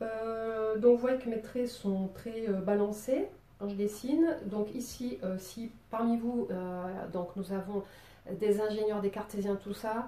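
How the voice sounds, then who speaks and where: A woman talks at a very slow pace in a fairly high voice with ordinary pitch variation. Noticeable background noise is present. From southern France, Marseille. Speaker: drawing teacher. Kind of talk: tutorial. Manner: casual, hesitant with many fillers.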